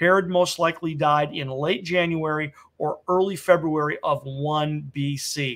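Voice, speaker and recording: A man with a plain, everyday voice speaks at a fairly slow pace and fairly high pitch, with fairly even intonation and hardly any pauses. The recording is very clean, with a silent background. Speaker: radio show host. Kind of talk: radio Bible teaching monologue.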